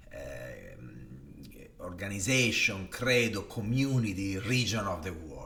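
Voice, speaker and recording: With an Italian accent, a man speaks at a very slow pace in a bright, sharp tone. Audible room echo surrounds his voice. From northern Italy, Varese. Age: 40s. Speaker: design executive. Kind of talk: personal storytelling monologue. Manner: hesitant, with many fillers.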